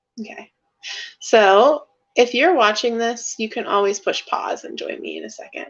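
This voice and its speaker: A woman with a fairly high pitch speaks at a moderate pace with vocal fry. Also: lively intonation. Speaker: art teacher. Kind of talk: tutorial.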